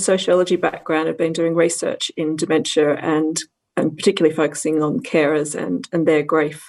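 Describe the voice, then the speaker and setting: Moderate pace, a woman, in an Australian accent. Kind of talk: panel discussion.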